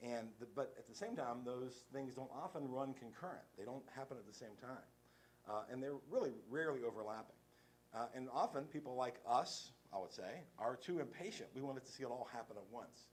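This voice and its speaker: There is audible room echo as a man talks at a fairly quick pace in a medium pitch. His pitch varies in an ordinary way, while his loudness swings widely. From West Virginia. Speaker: lawyer and nonprofit director. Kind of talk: conference talk. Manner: fast; casual, halting with fillers.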